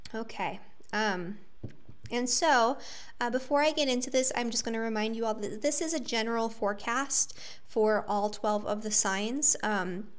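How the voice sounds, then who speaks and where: With audible room echo, a woman speaks at a moderate pace in a fairly high pitch with ordinary pitch variation. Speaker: astrologer. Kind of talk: monologue forecast. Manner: casual, filler-heavy.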